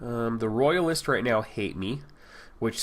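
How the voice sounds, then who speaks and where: A man speaks at a medium pitch. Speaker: gaming YouTuber. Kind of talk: gameplay commentary. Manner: fast.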